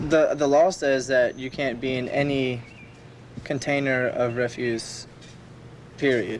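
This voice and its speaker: Amid audible room echo, a man at a medium pitch speaks at a fairly slow pace with fairly even intonation and long, frequent pauses. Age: 20s. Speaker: dumpster diver. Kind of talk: documentary interview.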